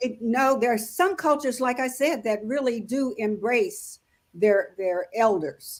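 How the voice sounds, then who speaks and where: A woman with an American accent speaks at a fairly slow pace in a high voice, her intonation lively. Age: 80s+. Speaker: author. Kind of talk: interview answer. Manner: warm, encouraging.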